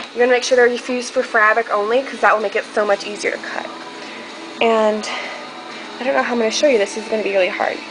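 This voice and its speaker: Music plays in the background as a woman talks at a very fast pace with ordinary pitch variation. Her speech has long, frequent pauses. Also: fairly high pitch for a woman. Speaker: video blogger. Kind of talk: tutorial. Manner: casual, hesitant with fillers.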